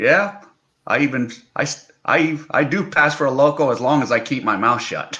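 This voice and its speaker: A man with an American accent and an ordinary speaking voice talks at a moderate pace, fairly high in pitch with ordinary pitch variation. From United States. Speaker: online English teacher and video blogger. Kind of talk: casual livestream chat.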